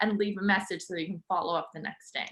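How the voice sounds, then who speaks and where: A bright, sharp tone stands out against a quiet background. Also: woman. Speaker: legal marketing presenter; webinar presenter. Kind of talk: webinar presentation.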